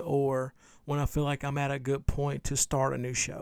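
On a very clean recording with a silent background, a man talks at a fairly high pitch. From Louisiana. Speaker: podcaster. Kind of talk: casual solo podcast, unedited.

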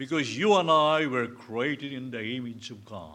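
Lively in intonation, a man with a Filipino accent talks in a bright, sharp tone. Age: 70s. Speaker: pastor. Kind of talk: sermon. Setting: church.

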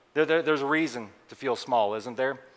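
His pitch varies in an ordinary way as this man talks in an American accent. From Colorado. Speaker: preacher. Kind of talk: sermon.

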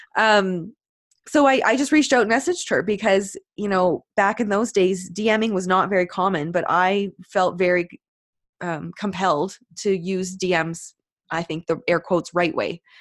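Over a quiet background, a woman with an unremarkable speaking voice talks at a moderate pace in a medium pitch with ordinary pitch variation. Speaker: business owner and coach. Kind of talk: casual interview chat.

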